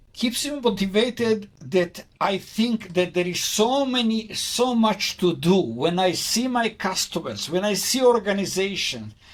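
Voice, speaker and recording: A man's high-pitched voice with ordinary pitch variation, a fairly slow pace and hardly any pauses, amid noticeable background noise. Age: 70s. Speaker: cybersecurity consultant. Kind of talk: interview. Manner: halting.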